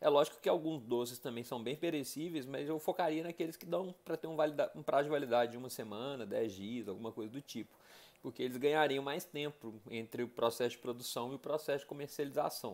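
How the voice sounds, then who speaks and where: At a fairly quick pace, a man speaks at medium pitch with big swings in loudness. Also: ordinary pitch variation. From Brazil, Belo Horizonte (Minas Gerais). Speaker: education and nonprofit management professional presenting a business case. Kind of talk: casual presentation of a case study. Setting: self-recorded video. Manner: conversational, with fillers and self-corrections. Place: bathroom. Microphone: earbuds.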